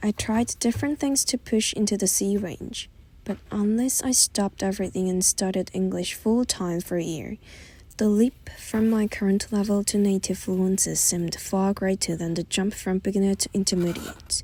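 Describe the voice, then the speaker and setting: The speaker has a Korean accent. The pace is moderate. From South Korea. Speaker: vlogger. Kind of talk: scripted narration. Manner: reflective, measured.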